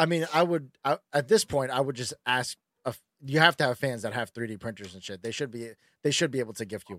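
Delivered at a fairly quick pace with big swings in loudness and ordinary pitch variation, a normal speaking voice comes through dry and close with no echo on a very clean recording against a silent background. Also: man, medium pitch for a man. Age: 30s. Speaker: podcast host. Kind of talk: casual chat. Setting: home recording room.

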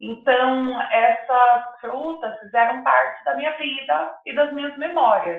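A woman speaks at a high pitch and a very slow pace. Her intonation is lively, and her loudness swings widely. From Mato Grosso do Sul, Brazil (interior). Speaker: chocolate entrepreneur, product designer. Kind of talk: interview.

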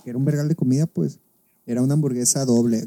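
A man's fairly high, somewhat breathy voice with a dark, mellow tone, ordinary pitch variation, and a dry, close sound with no echo. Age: 20s. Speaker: podcast co-host. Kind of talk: casual chat.

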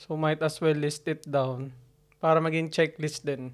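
Quiet and at a moderate pace, a man speaks with a fairly high pitch and fairly even intonation on a very clean recording with a silent background. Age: 30s. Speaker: podcast co-host. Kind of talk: casual chat. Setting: home recording. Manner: quiet, reserved.

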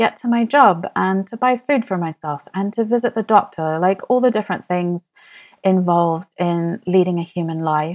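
A woman with an unremarkable speaking voice talks at a moderate pace with ordinary pitch variation, recorded very cleanly against a silent background with a dry, close sound and no echo. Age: 40s. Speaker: podcast host, money coach. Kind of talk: solo podcast monologue.

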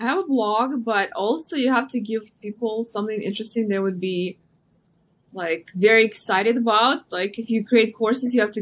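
Moderate pace and ordinary pitch variation, with a Russian accent. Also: woman. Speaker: social media influencer and model. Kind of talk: interview.

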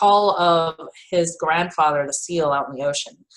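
A woman speaks in a plain, everyday voice, pitched fairly low with ordinary pitch variation. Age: 40s. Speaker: spiritual healer. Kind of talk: casual interview.

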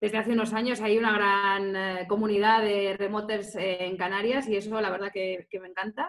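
This woman's voice sits at a medium pitch. She speaks with monotone, flat intonation. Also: moderate pace, hardly any pauses. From Spain, Salamanca. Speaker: tourism marketing specialist. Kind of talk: interview.

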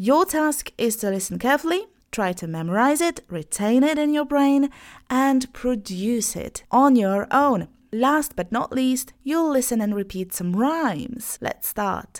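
A woman speaks at a fairly slow pace with a high pitch and lively intonation. The recording is very clean, with a silent background. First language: Polish. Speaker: online English teacher, podcast host. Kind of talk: language lesson. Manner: slow, clearly enunciated.

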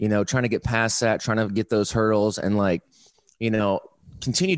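Fairly low in pitch, a man with an American accent and an ordinary speaking voice is recorded dry and close with no echo. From Indiana, Fort Wayne. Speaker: filmmaker. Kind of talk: casual interview. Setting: video call.

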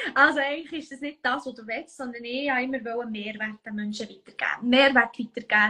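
Bright and sharp in tone, a woman with a Bernese accent talks at a high pitch and a fairly quick pace with hardly any pauses, fairly even intonation and big swings in loudness. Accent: Bernese Swiss German. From Switzerland, canton of Bern. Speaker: human design coach. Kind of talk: casual chat. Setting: Instagram live video.

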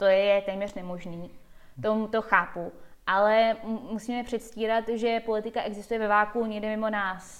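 Flat and monotone in intonation, the woman's voice sits fairly high. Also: moderate pace. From Czech Republic and USA. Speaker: skeptic organization president. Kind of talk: casual interview chat.

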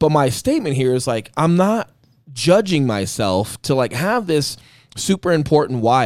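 An animated man's voice with very wide pitch swings at a fairly quick pace. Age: 30s. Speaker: real estate agent and podcast host. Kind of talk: casual chat.

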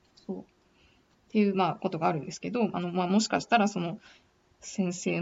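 Intonation stays fairly even throughout. The delivery is very fast. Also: woman. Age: 30s. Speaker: podcaster working in beauty industry. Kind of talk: casual monologue. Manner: hesitant, many fillers.

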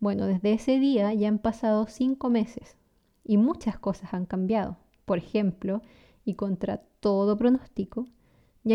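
Over a quiet background, a woman with a Chilean accent speaks at a fairly high pitch and a fairly slow pace, with ordinary pitch variation and a dark, mellow tone. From Chile (San Carlos, south-central). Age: 30s. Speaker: language teacher and podcast host. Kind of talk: scripted narration. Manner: clear, natural pace for learners.

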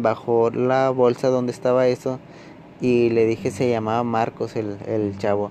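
A man with a Mexican accent speaks at medium pitch and a very slow pace. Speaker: podcaster. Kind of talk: storytelling. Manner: halting; casual.

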